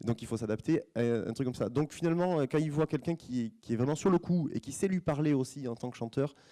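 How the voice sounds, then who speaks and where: This man has a fairly high pitch and a dark, mellow tone, with ordinary pitch variation. He talks at a fairly quick pace with hardly any pauses, and the sound is dry and close with no echo. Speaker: opera stage director, former singer. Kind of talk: conference talk to students. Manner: fast; halting, many repetitions.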